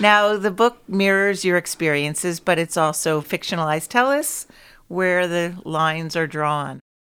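A woman speaks in a plain, everyday voice at a fairly low pitch and a moderate pace, with ordinary pitch variation. The recording is very clean with a silent background. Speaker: podcast host. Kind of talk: scripted intro with interview. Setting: studio.

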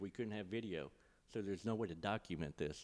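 A man with a Mississippi accent speaks at a fairly quick pace. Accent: US Southern (Mississippi). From Mississippi Gulf Coast (Ocean Springs). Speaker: arena marketing director. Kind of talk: casual chat. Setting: in a converted bank venue downtown.

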